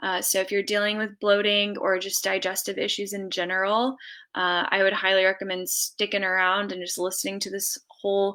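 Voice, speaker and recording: A woman's medium-pitched, bright and sharp voice at a fairly quick pace, monotone and flat in intonation, on a very clean recording with a silent background. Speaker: functional medicine dietitian. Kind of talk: live stream talk. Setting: live video stream.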